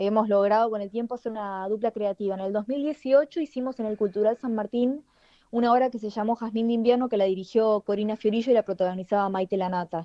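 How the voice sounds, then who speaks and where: A woman's fairly high pitch at a very fast pace with fairly even intonation. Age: 30s. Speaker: playwright. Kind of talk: radio interview.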